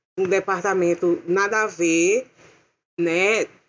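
A woman's voice sits at a medium pitch. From interior of Paraíba, Brazil. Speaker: film art director and costume designer. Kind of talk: casual chat.

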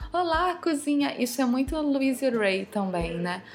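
A woman speaks at a fairly slow pace. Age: 30s. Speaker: holistic decor specialist. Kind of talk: casual interview.

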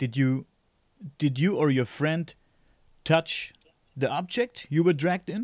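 This man has a German accent and a fairly high pitch. His intonation is lively and his pace fairly slow. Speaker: podcast host. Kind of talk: interview. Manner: halting.

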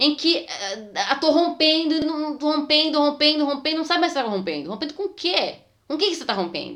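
A woman's high voice, very fast pace and very wide pitch swings. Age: 30s. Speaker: dance podcast co-host, dancer. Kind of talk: casual chat.

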